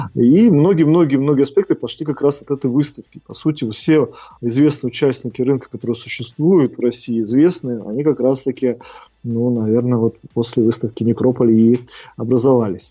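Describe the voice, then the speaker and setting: At a moderate pace, a man speaks in an ordinary speaking voice at a medium pitch, with ordinary pitch variation. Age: 30s. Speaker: crematorium director. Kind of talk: interview.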